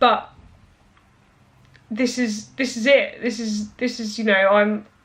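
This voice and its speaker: Speaking at a very slow pace, a woman uses a fairly high, monotone voice with flat intonation. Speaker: fitness vlogger. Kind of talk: casual vlog monologue. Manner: halting, with many restarts.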